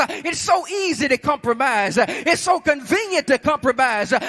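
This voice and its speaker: With noticeable background noise but a dry, close sound with no echo, a man speaks at a moderate pace in a raised, projected voice and an extremely high pitch. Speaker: preacher. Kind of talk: sermon delivered to a congregation. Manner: direct, emphatic, exhortative.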